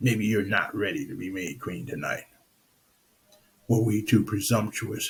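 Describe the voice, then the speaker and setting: The speaker uses a put-on character voice at a moderate pace. Long pauses come often. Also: man, fairly low pitch for a man. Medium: read story. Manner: calm, mild.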